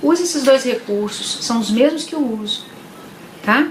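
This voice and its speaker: There is noticeable background noise as a woman speaks. Her high voice makes very wide pitch swings. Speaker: psychologist. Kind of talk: live stream talk to viewers. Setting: live stream.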